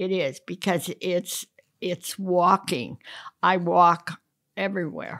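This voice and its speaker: Very slow and fairly low, a woman speaks with fairly even intonation and long, frequent pauses. The recording is very clean, dry and close, with a silent background and no echo. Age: 80s+. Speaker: interviewee. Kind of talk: casual chat. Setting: manicure session. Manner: halting.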